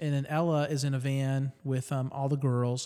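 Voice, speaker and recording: An unremarkable speaking voice from a man, fairly high in pitch at a moderate pace, on a very clean recording with a silent background. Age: 40s. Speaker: podcast co-host. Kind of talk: casual chat. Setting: home garage.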